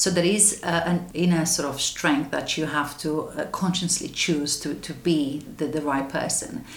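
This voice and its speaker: A woman with a Romanian accent, very deep and low-pitched, at a fairly slow pace with hardly any pauses, amid audible room echo and noticeable background noise. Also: ordinary pitch variation. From Romania, west. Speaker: anti-trafficking charity manager. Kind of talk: interview. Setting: office. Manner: halting.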